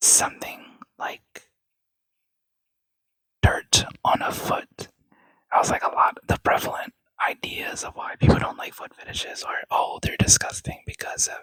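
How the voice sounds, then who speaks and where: The speaker is whispering at a moderate pace. Long, frequent pauses break up the speech. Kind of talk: casual talk to camera, ASMR opinion rant. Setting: quiet home setting. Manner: soft-spoken.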